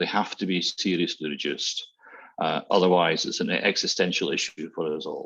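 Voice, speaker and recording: A man speaks in a Glasgow accent. His pace is moderate. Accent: Scottish (Glasgow). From Scotland, Glasgow. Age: 60s. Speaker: transport consultant. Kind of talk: webinar presentation. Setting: online webinar.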